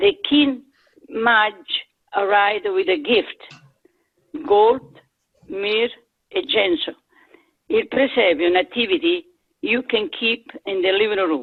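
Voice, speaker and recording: With an Italian accent, a woman talks at a very slow pace, using very wide pitch swings and long, frequent pauses. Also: fairly high pitch for a woman. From Italy. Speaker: community member. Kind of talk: casual chat.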